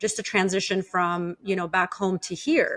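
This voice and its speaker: A woman speaks with an Armenian accent. Her pace is moderate. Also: very clean recording, silent background. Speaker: podcast host. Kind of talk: casual interview chat. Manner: conversational with many fillers.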